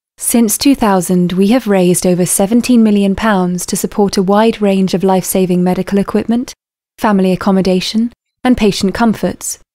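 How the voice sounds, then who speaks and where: A woman with a British accent speaks at a fairly quick pace in a medium pitch, her dark, mellow tone held at very even loudness and fairly even intonation, on a very clean recording with a silent background. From UK. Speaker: voice actor. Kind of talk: charity appeal narration. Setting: studio.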